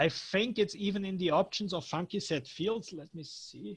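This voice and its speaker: This man speaks at a fairly slow pace. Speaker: software developer giving a training. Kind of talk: technical training Q&A. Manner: halting, stuttering.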